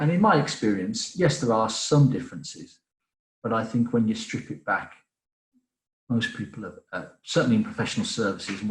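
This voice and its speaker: A man with a Birmingham accent talks at a fairly quick pace in a medium pitch. His voice is somewhat breathy, with lively intonation. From Birmingham, English Midlands. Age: 40s. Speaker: business development director. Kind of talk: podcast interview.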